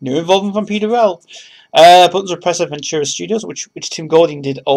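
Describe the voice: The clip is plain reading aloud. Words are read out with nothing more to it.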